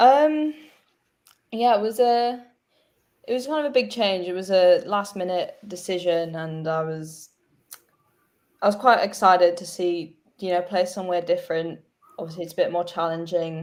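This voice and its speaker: A woman with an Australian accent, lively intonation, big swings in loudness and long, frequent pauses. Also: medium pitch for a woman, moderate pace. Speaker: cricketer. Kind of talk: interview.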